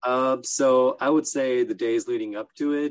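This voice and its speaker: A man with a Californian accent talks at a medium pitch. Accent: Californian American. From Southern California (Los Angeles, Orange County). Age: 20s. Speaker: ultra runner. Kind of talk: casual interview.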